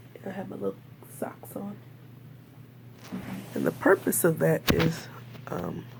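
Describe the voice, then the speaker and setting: Quiet and fairly slow, a woman speaks with big swings in loudness and long, frequent pauses over noticeable background noise. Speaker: video blogger. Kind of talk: casual video diary. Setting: hospital room.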